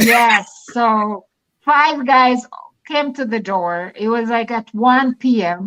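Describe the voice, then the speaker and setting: The speaker talks at a very slow pace with an African accent. Pitch variation is ordinary. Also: woman, fairly high pitch for a woman. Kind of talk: casual chat. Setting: live stream.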